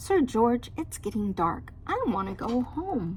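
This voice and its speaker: A woman speaks at a fairly slow pace in a high-pitched, put-on character voice, with clear background noise. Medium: read story. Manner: soft, meek.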